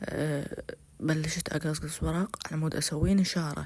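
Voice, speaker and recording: This man speaks with an Iraqi accent. His voice is fairly high and monotone, with flat intonation. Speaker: YouTuber vlogger. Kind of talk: casual vlog.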